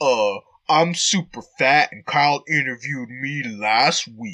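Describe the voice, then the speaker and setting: A man puts on a cartoonish character voice at a medium pitch. His delivery moves at a fairly slow pace. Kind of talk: comic puppet voices. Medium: solo performance. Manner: exaggerated, wheedling.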